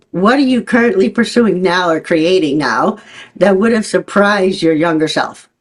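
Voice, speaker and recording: A woman's medium-pitched voice, a normal speaking voice, with lively intonation at a moderate pace. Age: 60s. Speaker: podcast host. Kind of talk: interview conversation.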